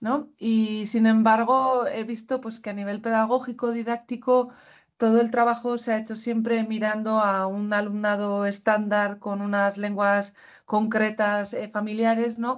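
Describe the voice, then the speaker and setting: Fairly high-pitched, a woman speaks in a monotone, flat intonation. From Basque Country, Spain. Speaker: university lecturer, co-author. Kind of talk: panel talk at academic conference. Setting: university conference with audience.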